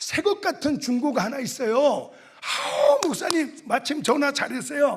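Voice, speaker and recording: The man's pitch is extremely high, his intonation lively and his pace very slow. Audible room echo surrounds the voice. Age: 60s. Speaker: pastor, revival preacher. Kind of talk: sermon. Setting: church. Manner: animated.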